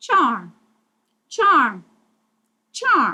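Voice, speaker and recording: Pitched extremely high, a woman performs a put-on character voice. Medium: read story. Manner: sly, mocking.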